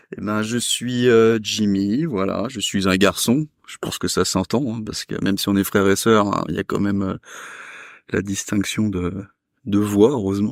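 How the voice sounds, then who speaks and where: With a plain, everyday voice, a man speaks at a fairly low pitch, a fairly slow pace and fairly even intonation, recorded very cleanly against a silent background with a dry, close sound and no echo. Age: 30s. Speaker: restaurant worker. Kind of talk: casual chat. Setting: chalet on Franco-Swiss border.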